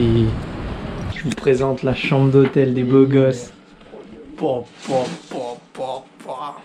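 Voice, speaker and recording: There is noticeable background noise. A man talks in a medium pitch. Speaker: travel vlogger. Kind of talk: casual vlog. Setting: outdoors.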